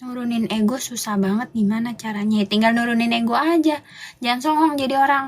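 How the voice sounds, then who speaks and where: A woman talks at a very fast pace in a fairly high pitch. Noticeable background noise runs underneath. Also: ordinary pitch variation. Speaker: livestream host. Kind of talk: casual livestream rant to viewers. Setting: live stream. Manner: animated, scolding.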